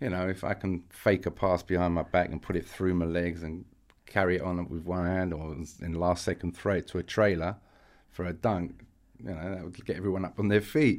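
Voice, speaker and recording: Very deep and low, a man's voice moves at a fairly quick pace in a very clean recording with a silent background. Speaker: retired basketball player and coach. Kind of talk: casual interview.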